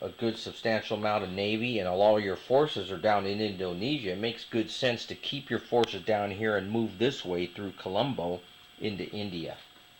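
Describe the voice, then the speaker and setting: Fairly low-pitched male voice with fairly even intonation over noticeable background noise. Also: moderate pace. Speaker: board game player explaining strategy. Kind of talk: tutorial. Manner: self-described poor enunciation.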